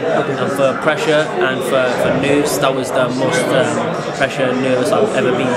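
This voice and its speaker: There is loud background noise. Through it, a man talks. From Wales, Cardiff. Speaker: professional boxer. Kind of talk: post-fight interview. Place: hall.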